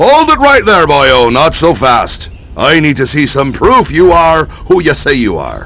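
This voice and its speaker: Over clear background noise, a man puts on a gruff character voice at a moderate pace. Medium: video game. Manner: gruff, wisecracking.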